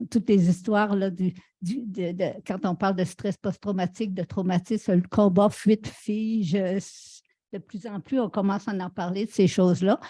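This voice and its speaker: Against a quiet background, a woman with a dark, mellow tone and medium pitch speaks at a moderate pace, somewhat breathy, with fairly even intonation and a dry, close sound with no echo. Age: 70s. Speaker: panelist. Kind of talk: panel discussion.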